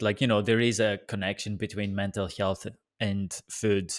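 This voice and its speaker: A man with a fairly low voice talks at a moderate pace, recorded very cleanly against a silent background. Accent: Greek. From Greece. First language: Greek. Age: 20s. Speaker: podcast host. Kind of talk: casual interview chat.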